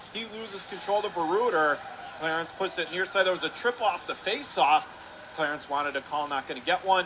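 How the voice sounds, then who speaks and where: Pitch moves in an ordinary way, heard against noticeable background noise. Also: man, high pitch for a man. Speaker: radio play-by-play announcer. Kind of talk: live hockey play-by-play commentary. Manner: fast.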